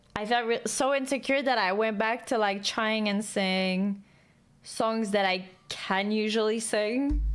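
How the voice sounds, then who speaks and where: A woman's fairly high voice at a fairly slow pace, with very even loudness, fairly even intonation and music in the background. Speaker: gaming streamer. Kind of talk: casual chat.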